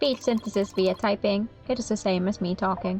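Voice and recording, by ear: A female-sounding, put-on character voice speaks at a medium pitch in a robotic way. The pace is moderate, with clear music in the background.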